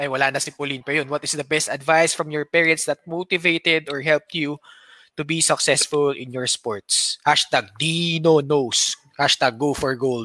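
A moderate pace and fairly even intonation in a Filipino accent, with a dry, close sound with no echo and a very clean recording, silent background. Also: man, fairly high pitch for a man. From Philippines. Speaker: podcast host. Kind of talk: casual chat.

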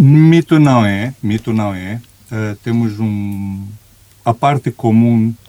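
A man's very slow speech in a Romanian accent, medium in pitch with a dark, mellow tone, dry and close with no echo. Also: ordinary pitch variation. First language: Romanian (speaking Portuguese). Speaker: executive coach. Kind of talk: interview conversation.

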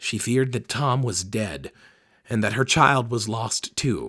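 Fairly even intonation in a natural reading voice

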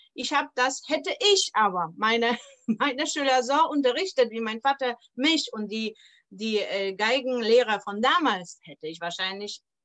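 Bright and sharp in tone, a woman's high-pitched voice moves with lively intonation at a fairly slow pace. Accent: Polish. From Poland (Poznań). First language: Polish (speaking German). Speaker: violin teacher. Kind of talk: interview.

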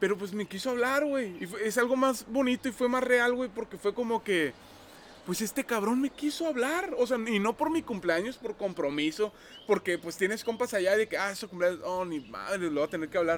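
Lively intonation from a man with a high pitch, at a moderate pace, noticeable background noise behind him. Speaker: podcast co-host. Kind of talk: casual chat. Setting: outdoors.

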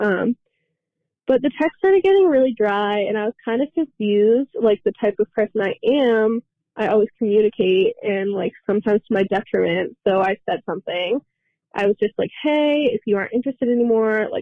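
With an ordinary speaking voice, a woman talks at a moderate pace and with ordinary pitch variation. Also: fairly high pitch for a woman. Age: 20s. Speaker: caller. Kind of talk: recorded voice message.

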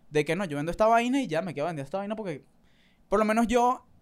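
A man speaks in a Caracas accent at a high pitch. His pitch varies in an ordinary way. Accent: Venezuelan Caracas-area Spanish. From Venezuela, Valles del Tuy. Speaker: street vendor and content creator. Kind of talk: casual chat.

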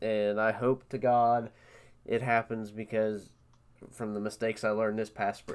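A man with an Appalachian accent speaks at a moderate pace in a medium pitch, his intonation flat and monotone. The recording is very clean, with a silent background. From West Virginia. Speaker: podcast host, hunter. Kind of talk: casual chat.

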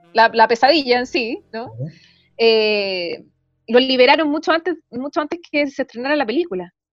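A woman speaks in a high voice with lively intonation while music plays in the background. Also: moderate pace. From Chile. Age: 30s. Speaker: writer and journalist. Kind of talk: casual interview. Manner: halting, many repetitions.

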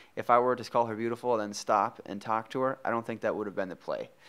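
A man speaks in an American accent. His intonation is monotone and flat. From Minnesota. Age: 20s. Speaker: podcast host. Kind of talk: casual interview chat.

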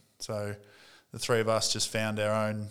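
With an Australian accent, a man at medium pitch talks at a moderate pace on a very clean recording with a silent background. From North East Victoria, Australia. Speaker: former pro footballer, sports coaching executive. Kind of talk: interview.

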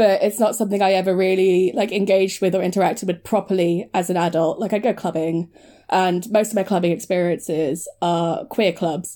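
On a very clean recording with a silent background, a woman speaks at a medium pitch in a dark, mellow tone. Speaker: podcast co-host. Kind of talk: casual discussion podcast.

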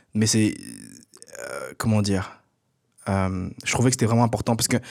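Over a silent background in a very clean recording, a man speaks at a fairly low pitch. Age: 20s. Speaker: podcast host and entrepreneur. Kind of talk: casual solo monologue. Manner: halting, many fillers and repetitions.

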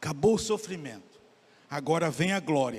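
At a fairly slow pace, a high-pitched man speaks with lively intonation. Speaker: pastor. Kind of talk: sermon, expository preaching during communion service. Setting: church. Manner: animated, urging, rhythmic call-and-response cadence ('Vamos lá'); emphatic, pausing to address congregation directly.

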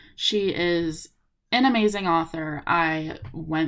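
The recording is very clean and the background silent. A woman talks in a fairly low register. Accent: American. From Los Angeles, California. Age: 20s. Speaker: podcast host, college student. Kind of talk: casual solo monologue. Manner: chatty, many fillers.

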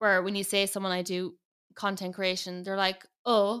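This woman talks fairly slowly with a strong Irish accent. The recording is very clean, with a silent background. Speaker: makeup artist and influencer. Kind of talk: casual chat.

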